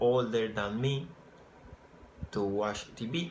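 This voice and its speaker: A man speaks with a Spanish accent at a medium pitch. His intonation is fairly even, and the room echo is audible. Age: 20s. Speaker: English program applicant. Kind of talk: application video answering questions. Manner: halting.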